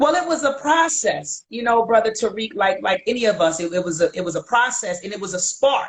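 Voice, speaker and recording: A woman speaks fairly quickly in a Baltimore accent. Her fairly high voice swings very widely in pitch. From Baltimore, US. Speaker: historian featured in documentaries. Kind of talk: casual interview on livestream. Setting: video livestream.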